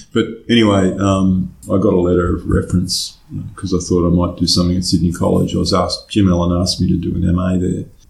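A man with an Australian accent talks at a very fast pace in a very deep, low pitch. His intonation is monotone and flat. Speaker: conceptual artist. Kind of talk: interview. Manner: halting.

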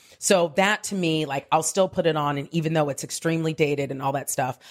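A woman's very deep, low voice, with ordinary pitch movement, comes through on a very clean recording against a silent background. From Southern California (Diamond Bar). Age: 40s. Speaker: comedian and writer. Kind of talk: casual chat. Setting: on holiday.

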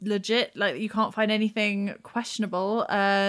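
Unforced reading voice, nothing more.

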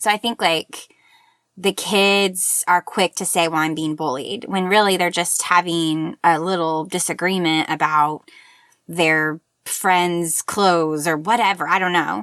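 A woman with an American accent speaks in a plain, everyday voice at a fairly slow pace and a fairly low pitch. The recording is very clean, with a silent background and a dry, close sound with no echo. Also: ordinary pitch variation. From Oklahoma. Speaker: teacher and author. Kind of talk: interview.

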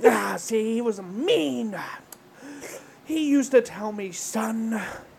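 A woman uses a put-on character voice at a fairly high pitch. Her pace is fairly slow. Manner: mean.

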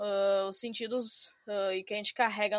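A woman speaks at a fairly slow pace in a very clean recording with a silent background, the sound dry and close with no echo. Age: 20s. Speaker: academic researcher. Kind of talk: interview. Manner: hesitant, many fillers.

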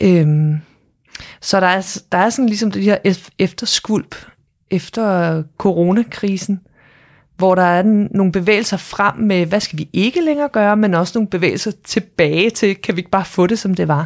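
On a very clean recording with a silent background, a woman with an unremarkable speaking voice speaks at a fairly slow pace and a medium pitch. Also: ordinary pitch variation. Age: 40s. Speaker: entrepreneur. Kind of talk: casual chat.

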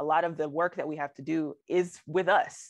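With a quiet background, a woman speaks at a moderate pace in a very deep, low pitch, her intonation fairly even. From Alabama. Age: 30s. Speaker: poet laureate. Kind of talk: interview.

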